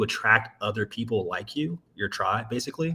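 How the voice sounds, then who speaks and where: Here a man with an American accent speaks in a normal speaking voice. His pace is moderate and his intonation lively. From Maryland, US. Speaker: sales strategist. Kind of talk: casual interview chat. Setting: livestream.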